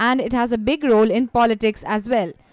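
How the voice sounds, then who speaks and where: A woman speaking at a moderate pace. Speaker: news reporter. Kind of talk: news report narration.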